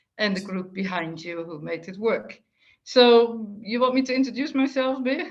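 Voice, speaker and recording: A woman with a slight Dutch accent talks at a moderate pace in a fairly high voice. Her intonation is lively and her loudness swings widely. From Netherlands. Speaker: retired telecom executive, author. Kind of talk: interview conversation.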